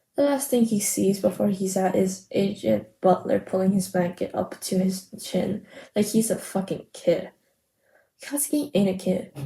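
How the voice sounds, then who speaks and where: Speaking with an American accent, a woman has a dark, mellow tone, somewhat breathy, at medium pitch. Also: ordinary pitch variation, moderate pace, very even loudness. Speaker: podfic reader. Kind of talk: casual chat; reading aloud. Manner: halting with self-corrections.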